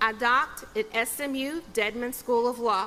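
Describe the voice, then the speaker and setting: Her tone is bright and sharp, and this woman speaks at a high pitch. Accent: Texas. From Texas, Sherman. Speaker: judge. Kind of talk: commencement speech. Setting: stage with audience.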